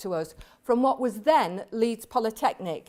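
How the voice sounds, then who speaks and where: In a very clean recording with a silent background, a woman speaks with a Yorkshire accent. She keeps a moderate pace and makes very wide pitch swings. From West Yorkshire, England (Hemsworth, near Barnsley). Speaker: professor. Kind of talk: lecture.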